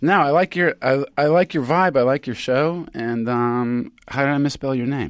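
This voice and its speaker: In an American accent, an unremarkable speaking voice moves at a moderate pace with ordinary pitch variation, the sound dry and close with no echo on a very clean recording with a silent background. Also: man, fairly high pitch for a man. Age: 50s. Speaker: podcast co-host. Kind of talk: casual chat. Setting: studio.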